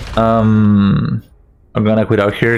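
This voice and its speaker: A man with a non-native accent speaks at a fairly low pitch with fairly even intonation, music playing in the background. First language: not English. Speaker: speedrunner. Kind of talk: live gameplay commentary. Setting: live stream.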